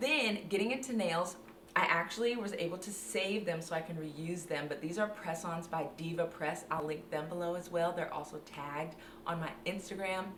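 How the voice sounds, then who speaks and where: An animated tone comes through with ordinary pitch variation. Noticeable background noise and audible room echo are present. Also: woman. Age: 20s. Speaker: beauty and fashion content creator. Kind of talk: tutorial.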